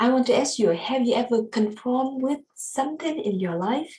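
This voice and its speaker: A woman with a Vietnamese accent speaks at a moderate pace with ordinary pitch variation. Her voice is somewhat breathy. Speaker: student. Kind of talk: class presentation. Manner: halting.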